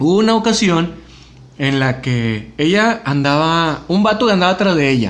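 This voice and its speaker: A man with a high voice speaks at a moderate pace, his pitch swinging very widely. Audible room echo is present. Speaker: podcast host. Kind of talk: casual chat.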